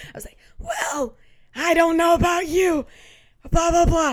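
This is a put-on character voice, raspy and extremely high in pitch. The pace stays moderate.

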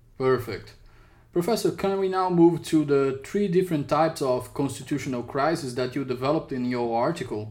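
A man with a Portuguese accent talks in a fairly high voice. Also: ordinary pitch variation. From Brazil. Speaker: podcast host. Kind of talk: interview. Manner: halting.

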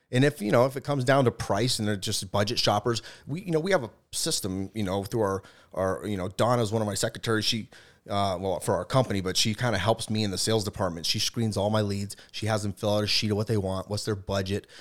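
On a very clean recording with a silent background, a man with an American accent talks at a very fast pace in a fairly low pitch with ordinary pitch variation. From Boston. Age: 30s. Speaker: entrepreneur. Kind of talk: casual chat.

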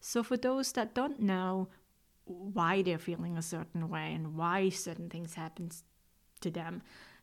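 A woman with a Swiss accent at a fairly slow pace, fairly even in intonation, on a very clean recording with a silent background. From Switzerland. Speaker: medium and podcast host. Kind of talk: casual podcast talk.

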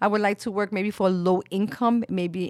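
A woman with a New York accent and a medium-pitched voice is heard in a very clean, dry, close recording with a silent background and no echo. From Brooklyn, New York (Williamsburg), Puerto Rican family. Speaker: medical sonographer. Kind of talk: casual interview chat.

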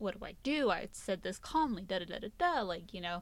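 A woman with an ordinary speaking voice talks at a moderate pace and medium pitch, on a very clean recording with a silent background. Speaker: podcast host. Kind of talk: casual chat.

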